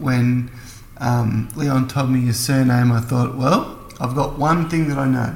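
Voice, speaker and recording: A man of medium pitch at a fairly slow pace, fairly even in intonation, over noticeable background noise. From Melbourne, Australia. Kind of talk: casual chat.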